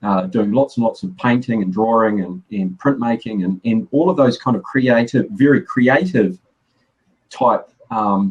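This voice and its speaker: With a New Zealand accent, a man speaks fairly slowly at a medium pitch. His intonation is lively. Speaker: graphic designer. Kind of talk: casual chat. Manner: halting, many repeated words.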